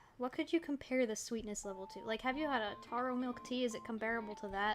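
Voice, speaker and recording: A voice with ordinary pitch variation speaks at a very fast pace over noticeable background noise. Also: woman, fairly high pitch for a woman. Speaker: art streamer. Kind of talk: casual chat. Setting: livestream. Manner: soft-spoken. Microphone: too quiet.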